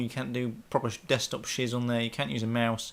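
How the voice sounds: Delivery moves at a fairly quick pace. The tone is fairly bright. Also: man.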